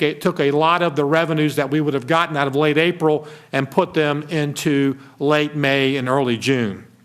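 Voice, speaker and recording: This man has an ordinary speaking voice, fairly high in pitch, and talks at a moderate pace. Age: 60s. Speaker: state finance secretary. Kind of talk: formal presentation. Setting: committee meeting.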